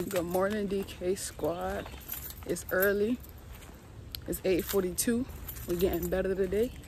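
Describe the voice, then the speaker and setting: A woman at a fairly slow pace, with fairly even intonation, a dry sound with no echo, and light background noise. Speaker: fitness vlogger. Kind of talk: casual vlog chat.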